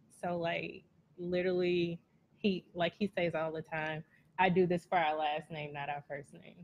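Over light background noise, a woman speaks at a fairly low pitch in a monotone, flat intonation with long, frequent pauses. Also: moderate pace. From Texas, Port Arthur; Texas. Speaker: cleaning business owner; podcast guest. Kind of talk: casual chat. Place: studio.

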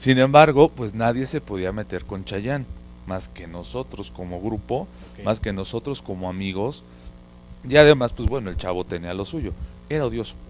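A man's lively intonation at a fairly low pitch and moderate pace, with big swings in loudness, a dry sound with no echo and light background noise. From Mexico City. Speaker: market research consultant; guest. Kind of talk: casual chat. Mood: relaxed, reminiscing. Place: studio. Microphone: handheld.

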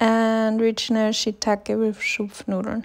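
The recording is very clean, with a silent background. A woman speaks at a fairly slow pace in a fairly high pitch with monotone, flat intonation. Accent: non-native. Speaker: food vlogger. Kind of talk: casual food vlog narration.

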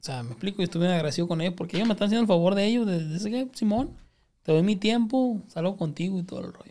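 A man with a northern Mexican accent, high pitch and dark, mellow tone, very fast pace, lively intonation and big swings in loudness. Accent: northern Mexican (Sinaloa). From Culiacán, Sinaloa, Mexico; Sinaloa, Mexico. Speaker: comedian; podcast guest. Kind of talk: casual chat. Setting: studio. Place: studio. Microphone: studio mic.

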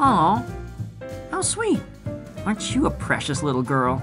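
A man uses a put-on character voice with a bright, sharp tone and a fairly high pitch, swinging very widely in pitch. He speaks at a fairly slow pace while faint music plays in the background.

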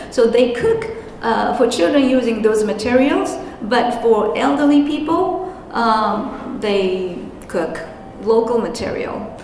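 Over light background noise and audible room echo, a woman speaks at a fairly high pitch and a fairly slow pace. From Japan. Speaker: interpreter and anti-nuclear activist. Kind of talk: conference presentation. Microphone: handheld.

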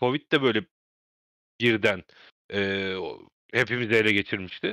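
A man's bright, sharp tone comes through a dry, close sound with no echo on a very clean recording with a silent background. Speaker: wrestling podcast host. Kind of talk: casual chat.

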